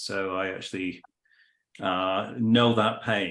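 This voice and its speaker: Speaking with a British accent, a man talks at a fairly slow pace in a monotone, flat intonation. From California. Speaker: business consultant. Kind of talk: business introduction in online meeting.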